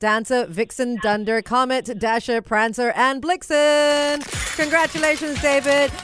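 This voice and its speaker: An upbeat, animated tone at a fairly slow pace, with ordinary pitch variation. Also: woman. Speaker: radio host. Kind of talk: radio DJ patter. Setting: radio studio.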